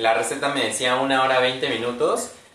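A man talks with audible room echo around his voice. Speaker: product demonstrator. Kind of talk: live stream presentation. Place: kitchen. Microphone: phone near.

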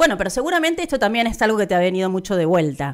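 A woman speaks with a Rioplatense accent against a quiet background. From Argentina. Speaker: radio host. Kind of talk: interview. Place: studio. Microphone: studio mic.

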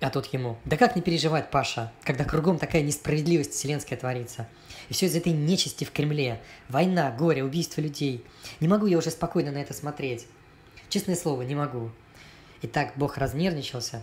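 A man's fairly high voice, somewhat breathy, with ordinary pitch variation and a fairly quick pace. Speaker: cartoonist and artist. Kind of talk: read satirical cartoon story. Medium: cartoon.

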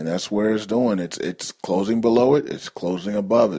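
Here a man talks with an unremarkable speaking voice. His pace is fairly quick and his pitch variation ordinary. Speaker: news call host. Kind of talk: market news commentary.

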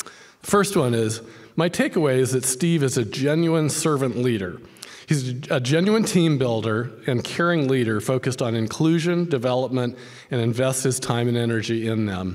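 A man at a moderate pace, lively in intonation, against a quiet background. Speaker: professor. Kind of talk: interview. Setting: stage with audience. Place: hall. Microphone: podium.

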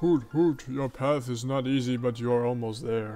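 A man puts on a character voice at a medium pitch and a moderate pace. Clear music plays in the background. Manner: wise, cryptic.

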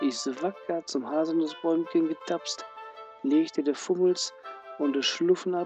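With a Ruhr accent, the speaker talks at a fairly slow pace while music plays in the background. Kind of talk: fairy tale reading.

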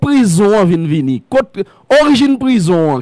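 A high-pitched man with a Haitian accent speaks at a fairly slow pace, his pitch swinging very widely. The sound is dry with no echo and the background is quiet. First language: Haitian Creole (speaking French). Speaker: radio and web talk show host; radio, web talk show host. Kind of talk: interview. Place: studio. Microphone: studio mic.

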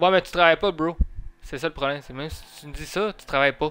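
Talking fast, a man with a fairly high pitch has a clear, smooth, fairly bright tone and ordinary pitch variation.

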